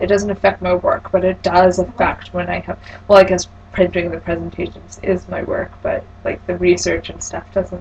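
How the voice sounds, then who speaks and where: Noticeable background noise accompanies a woman whose loudness shows big swings. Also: moderate pace. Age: 20s. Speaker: client in a practice counselling session. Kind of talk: role-played counselling session.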